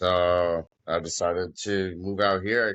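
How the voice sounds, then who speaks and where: This man has a very deep, low pitch and an American accent. He talks at a fairly slow pace in a monotone, flat intonation. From Massachusetts, western (East Hampton, Springfield area). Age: 30s. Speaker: construction worker. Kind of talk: casual chat. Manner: loud.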